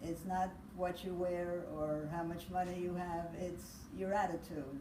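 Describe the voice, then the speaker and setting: A woman speaks at a very slow pace in a fairly low, monotone, flat voice. Audible room echo and noticeable background noise surround her. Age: 80s+. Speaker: grandmother. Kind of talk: interview; casual chat. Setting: video call.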